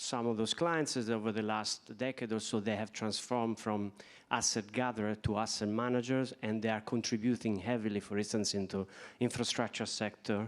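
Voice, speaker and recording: A man's medium-pitched voice at a fairly quick pace, in an Italian accent. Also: very clean recording, silent background. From Italy. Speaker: bank executive. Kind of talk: panel discussion.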